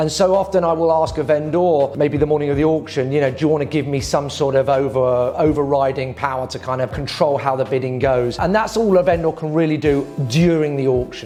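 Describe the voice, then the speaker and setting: With a British accent, a man speaks at a fairly quick pace with hardly any pauses and ordinary pitch variation, over noticeable background noise. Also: fairly high pitch for a man. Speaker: property auctioneer. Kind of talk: corporate explainer talk to camera giving advice.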